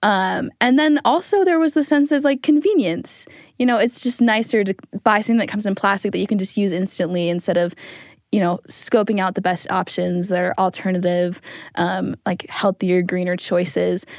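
A woman's plain, everyday voice with an American accent, medium in pitch, at a moderate pace with lively intonation, on a very clean recording with a silent background. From Utah, US. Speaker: student podcast team member. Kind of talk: reflective interview.

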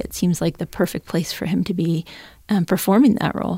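A woman speaks with an American accent at a fairly low pitch, her voice showing vocal fry. Her intonation is fairly even. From upstate New York. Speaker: writer and teacher. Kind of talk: casual chat.

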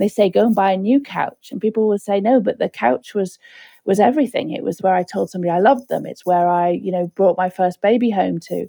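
With a Liverpool accent, a woman talks very fast at a medium pitch. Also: ordinary pitch variation, dry, close sound with no echo. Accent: Liverpool (Scouse) English. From Liverpool, England. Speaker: disaster recovery expert. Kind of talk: interview.

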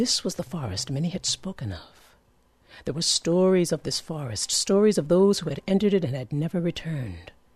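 A woman with a fairly low, somewhat breathy voice talks fairly quickly with lively intonation. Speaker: storyteller. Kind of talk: folktale telling.

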